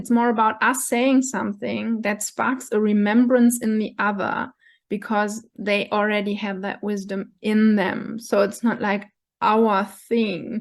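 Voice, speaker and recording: A woman with a German accent, fairly high in pitch and monotone, flat in intonation, at a fairly slow pace over a quiet background. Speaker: coach / vlogger. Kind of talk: monologue to camera. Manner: halting, with fillers.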